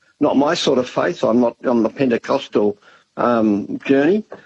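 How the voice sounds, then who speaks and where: A speaker with an Australian accent talks at a fairly slow pace. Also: man. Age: 70s. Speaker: government disaster agency head. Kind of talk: radio interview. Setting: radio studio.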